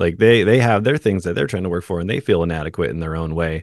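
Against a quiet background, a man's very deep, low voice comes through dry and close, with no echo. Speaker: podcast host. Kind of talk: casual interview chat. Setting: video call.

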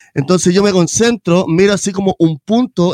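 A man with a high pitch speaks at a fairly quick pace with ordinary pitch variation. The sound is dry and close, with no echo. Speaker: podcast host, musician. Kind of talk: casual chat. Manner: animated.

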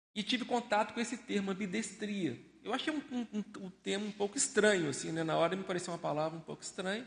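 Talking very fast with hardly any pauses, a man uses a high pitch and ordinary pitch variation. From Brazil, Belo Horizonte (Minas Gerais). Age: 50s. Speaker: researcher and volunteer lecturer. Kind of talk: discussion talk with audience questions. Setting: live event with audience, wearing masks.

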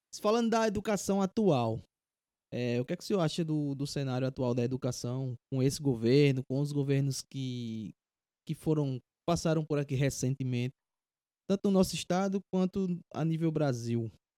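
Recorded very cleanly over a silent background, a man speaks with a dark, mellow tone and fairly high pitch, the sound dry and close with no echo. His intonation is lively and his pace moderate. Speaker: podcast host. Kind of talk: casual chat. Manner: halting.

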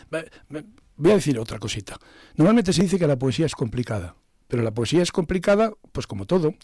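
Talking at a fairly quick pace, a man with fairly high pitch and a dark, mellow tone shows vocal fry and very wide pitch swings. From Zamora, Spain. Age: 60s. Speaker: poet and retired philosophy teacher. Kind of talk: radio interview. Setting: studio.

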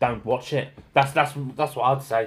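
A man in a Cockney accent, medium in pitch, at a fairly quick pace. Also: very clean recording, silent background. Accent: London cockney. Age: 30s. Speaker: podcast co-host. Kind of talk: casual chat.

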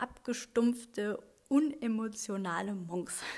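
A woman speaks in a fairly high voice. Her tone is dark and mellow and somewhat breathy. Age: 30s. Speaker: podcast host. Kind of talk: solo podcast monologue. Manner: hesitant with frequent fillers.

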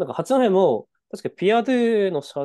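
Sounding dry and close with no echo, a man speaks in a dark, mellow tone. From northern Japan (Tohoku), Hachinohe, Aomori. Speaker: podcast co-host. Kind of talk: casual chat. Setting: video call.

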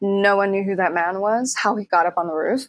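At a moderate pace and medium pitch, a woman talks in a normal speaking voice. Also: dry, close sound with no echo. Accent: American. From Mexico City and US. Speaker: actor and voice actor. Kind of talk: casual chat.

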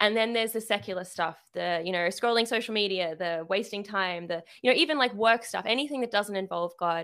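In an Australian accent, a woman at a medium pitch talks at a fairly quick pace with hardly any pauses. Her pitch variation is ordinary, and the recording is very clean with a silent background. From Sydney, Australia. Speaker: artist and writer, small business owner. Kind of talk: casual chat.

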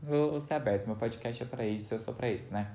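This man has a medium pitch and a somewhat breathy voice, speaking at a fairly quick pace. His pitch varies in an ordinary way, and the room echo is audible. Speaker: podcast host. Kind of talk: casual chat.

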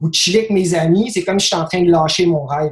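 A man speaks in a high pitch, varying it in an ordinary way. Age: 30s. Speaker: basketball dunk performer. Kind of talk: casual interview chat.

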